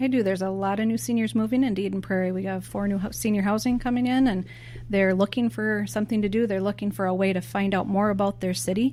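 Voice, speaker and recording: Speech rushes along at a very fast pace. Its intonation rises and falls in a lively way. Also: woman, medium pitch for a woman. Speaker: senior center supervisor. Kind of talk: podcast interview.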